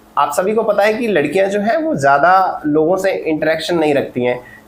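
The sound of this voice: A man with a high pitch speaks at a moderate pace with lively intonation, and audible room echo surrounds him.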